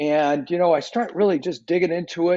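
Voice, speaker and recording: A man speaks with an American accent at a moderate pace. His pitch is high for a man, with ordinary variation. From US Pacific Northwest, Seattle. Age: 60s. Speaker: mental fitness company CEO. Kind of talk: podcast interview. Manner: halting, many fillers.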